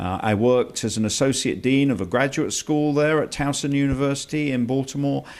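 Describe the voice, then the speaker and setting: In a very clean recording with a silent background, a man with a British accent and a fairly high pitch talks at a fairly quick pace with hardly any pauses and ordinary pitch variation. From England. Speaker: college president. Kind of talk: interview.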